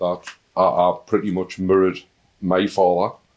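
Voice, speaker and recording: A man speaks in a strong Northern English accent on a very clean recording with a silent background. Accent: thick Northern English. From Northern England. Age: 50s. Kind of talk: interview answer. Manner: humorous, warm.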